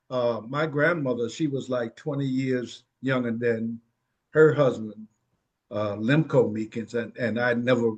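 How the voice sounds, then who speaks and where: A man with a Virginia accent, medium in pitch, at a fairly slow pace with fairly even intonation. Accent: Southern US (Virginia). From Virginia, Williamsburg area. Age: 70s. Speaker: family elder interviewed about his life. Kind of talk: oral history interview. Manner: halting, many fillers.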